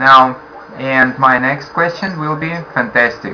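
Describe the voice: With a bright, sharp tone and ordinary pitch variation, a man talks at a fairly slow pace amid audible room echo. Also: medium pitch for a man.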